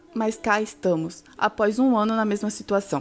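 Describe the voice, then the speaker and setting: A woman speaks in a normal speaking voice. Her pitch is fairly high. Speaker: university student. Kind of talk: scripted sponsor read.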